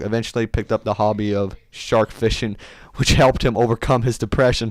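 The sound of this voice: A man with a fairly low pitch talks at a moderate pace with little pitch movement.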